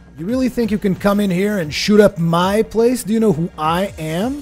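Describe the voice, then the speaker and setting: A man puts on a raspy character voice, high in pitch, with ordinary pitch variation. He talks at a moderate pace over clear music in the background. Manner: manic.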